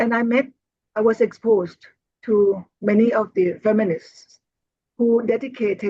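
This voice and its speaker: A somewhat breathy voice with a Thai accent speaks at a fairly slow pace. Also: woman. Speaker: Buddhist nun and teacher. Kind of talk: interview. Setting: video call.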